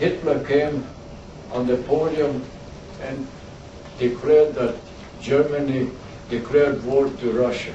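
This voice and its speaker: With monotone, flat intonation, a man speaks fairly slowly in a fairly high pitch, taking long, frequent pauses. Audible room echo and noticeable background noise are present. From Croatia (former Yugoslavia), ethnic German. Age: 80s+. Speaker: war veteran. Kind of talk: talk to a school class. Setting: classroom.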